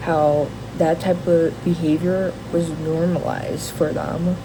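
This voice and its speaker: A woman with a fairly low pitch is heard with audible room echo and noticeable background noise. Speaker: vlogger. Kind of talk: casual rant to camera. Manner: halting, many fillers and restarts.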